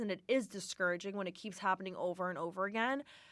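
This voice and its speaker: Talking at a very fast pace, a woman with a medium-pitched voice sounds animated in a very clean recording with a silent background. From US, Syrian-Turkish immigrant family. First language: Aramaic. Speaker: podcast host. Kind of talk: casual chat. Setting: studio.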